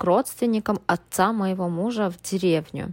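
An ordinary speaking voice, with ordinary pitch variation. The pace is fairly slow. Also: woman. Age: 30s. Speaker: guest, student, wife of a Frenchman. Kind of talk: recorded personal story.

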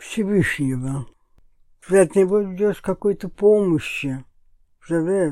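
A woman's medium-pitched, dark and mellow voice with lively intonation, at a very slow pace. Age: 80s+. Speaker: grandmother of the host. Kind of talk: casual chat.

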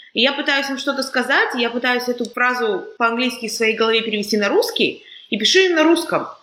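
With a bright, sharp tone, a woman talks at a very fast pace and a high pitch. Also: lively intonation. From Kazakhstan. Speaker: podcast host. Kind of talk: casual chat.

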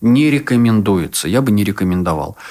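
A man talks at a moderate pace. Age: 30s. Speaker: sexologist and psychotherapist. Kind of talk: casual chat.

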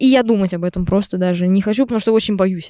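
A woman's normal speaking voice, medium in pitch, with ordinary pitch variation and a fairly quick pace. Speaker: composer and singer-songwriter, conservatory student. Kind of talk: casual interview chat. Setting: in a tent at a campsite.

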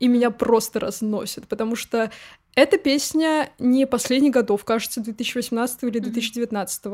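A woman's high voice moves along at a fairly slow pace. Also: ordinary pitch variation. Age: 20s. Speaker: podcast co-host. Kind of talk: casual chat.

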